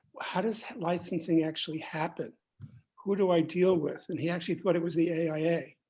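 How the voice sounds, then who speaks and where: In a New York accent, a woman with a fairly low pitch and a dark, mellow tone talks at a moderate pace with fairly even intonation against a quiet background. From New York City. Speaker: architect mentor. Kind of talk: panel discussion.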